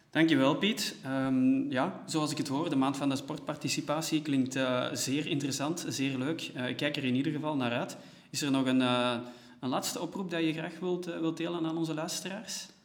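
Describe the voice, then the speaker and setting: Audible room echo surrounds a man who speaks at a moderate pace with a fairly high pitch and ordinary pitch variation. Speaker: podcast host, organisation staff. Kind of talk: scripted podcast intro and interview. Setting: meeting room used as studio in an empty office.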